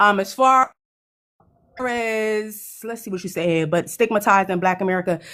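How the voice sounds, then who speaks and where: With a New York accent, a woman speaks at a medium pitch and a moderate pace, with ordinary pitch variation. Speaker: panel participant on live stream. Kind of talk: live stream panel commentary.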